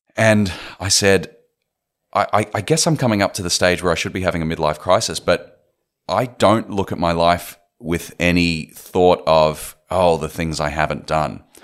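A man with an Australian accent speaks with ordinary pitch variation on a very clean recording with a silent background. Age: 30s. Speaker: film director and writer. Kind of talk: interview.

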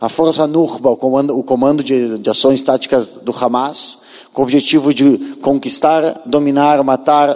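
A man speaks in a plain, everyday voice, fairly high in pitch, at a fairly slow pace with fairly even intonation. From southern Brazil, Porto Alegre. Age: 40s. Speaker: former soldier and tour guide giving a talk. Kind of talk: lecture.

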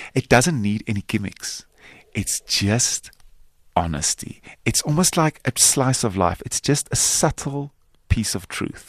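Speaking with a South African accent, a man at a medium pitch moves at a fairly slow pace through very wide pitch swings, in a dry, close sound with no echo on a very clean recording with a silent background. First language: Afrikaans. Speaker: actor and filmmaker. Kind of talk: interview.

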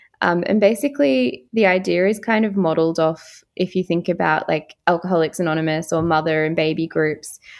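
Speaking with an Australian accent, a woman with a fairly low pitch and ordinary pitch variation talks with hardly any pauses. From Far North Queensland, Australia. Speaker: psychiatry trainee doctor. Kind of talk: interview.

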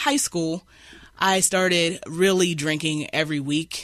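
A woman speaks in an Appalachian accent. Her pitch is fairly low and her intonation fairly even. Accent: Appalachian American. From southern West Virginia. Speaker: shelter client in addiction recovery. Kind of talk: personal testimony. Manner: halting, many fillers.

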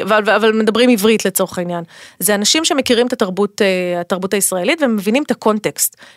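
An ordinary speaking voice moves at a fairly quick pace with ordinary pitch variation. The sound is dry and close, with no echo. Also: woman. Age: 40s. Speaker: tech company communications executive. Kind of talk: interview. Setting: studio.

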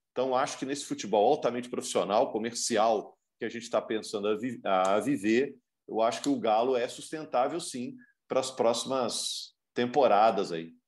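This man has a normal speaking voice at a medium pitch. He keeps a moderate pace with ordinary pitch variation. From Minas Gerais, Brazil. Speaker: sports commentator. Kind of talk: casual chat.

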